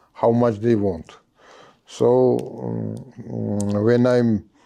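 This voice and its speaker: A man in a Georgian accent, fairly low in pitch, dark and mellow in tone, at a very slow pace. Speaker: podcast host and business owner. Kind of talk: interview conversation. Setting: library. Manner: halting, many fillers.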